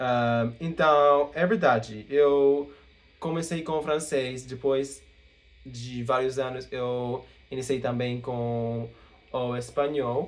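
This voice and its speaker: Very slowly, a man speaks with a non-native accent. He keeps a medium pitch and fairly even intonation. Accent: English-speaking learner accent in Portuguese. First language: English (speaking Portuguese). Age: 20s. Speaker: language learner vlogger. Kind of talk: casual Q&A vlog. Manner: halting, with fillers.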